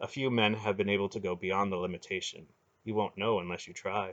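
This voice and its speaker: A man puts on a character voice, fairly low in pitch. He talks fairly quickly with fairly even intonation. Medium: read story.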